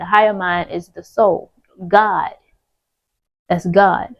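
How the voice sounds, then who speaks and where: Very slowly, a woman speaks at a medium pitch. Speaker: spiritual content creator. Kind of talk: spiritual monologue.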